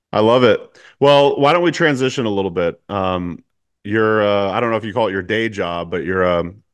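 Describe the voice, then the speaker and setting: In an unremarkable speaking voice, a man with fairly low pitch talks at a moderate pace with lively intonation against a quiet background. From Eugene, Oregon, US Pacific Northwest. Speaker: podcast host. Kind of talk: casual interview chat. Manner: relaxed, casual.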